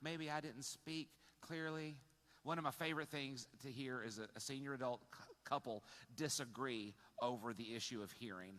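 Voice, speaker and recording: A loud man speaks with a bright, sharp tone. His pitch sits in the medium range with ordinary variation. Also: moderate pace. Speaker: pastor. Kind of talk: sermon. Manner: halting.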